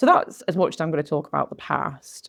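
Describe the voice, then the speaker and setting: Her pace is fairly quick. The woman has a northern English accent. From northwest England. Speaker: podcast host and coach. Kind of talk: personal storytelling monologue. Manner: conversational.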